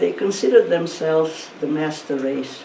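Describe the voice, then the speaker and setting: A woman with a Hungarian accent speaks at a fairly slow pace in a very deep, low pitch. Noticeable background noise and audible room echo are present. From Hungarian-speaking region of Eastern Europe, now Ukraine. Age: 90s. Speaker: Holocaust survivor and speaker. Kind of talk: testimony talk to students. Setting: school virtual presentation.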